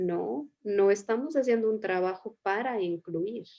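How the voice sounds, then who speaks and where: This is an ordinary speaking voice from a woman at medium pitch. Her intonation is lively. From Mexico. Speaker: psychotherapist, series host. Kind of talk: casual conversation.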